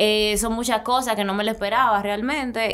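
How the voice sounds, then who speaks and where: In a flat monotone, a woman speaks at a fairly high pitch. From Dominican Republic. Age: 20s. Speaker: singer; podcast guest. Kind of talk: interview. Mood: relaxed, friendly. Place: studio. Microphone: studio mic.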